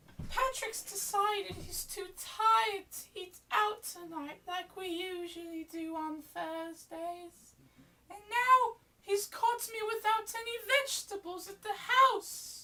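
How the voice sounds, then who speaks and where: A woman puts on a squeaky character voice at an extremely high pitch, her loudness swinging widely. She talks at a fairly slow pace. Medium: audio drama. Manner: fussing, calls everyone darling.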